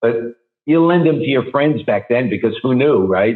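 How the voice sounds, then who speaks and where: With a New York accent, a man speaks with ordinary pitch variation. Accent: New York area. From New Jersey. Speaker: rock singer. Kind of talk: interview answer. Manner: casual, candid.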